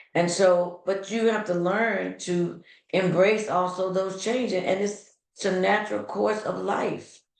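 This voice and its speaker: A woman speaks with a medium pitch and vocal fry. Her pace is fairly slow, with ordinary pitch variation. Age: 60s. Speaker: podcast host. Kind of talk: podcast monologue. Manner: halting.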